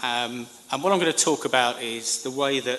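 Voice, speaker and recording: Against noticeable background noise, a man speaks with a British accent. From Britain. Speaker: government communications professional. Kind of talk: conference speech. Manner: formal.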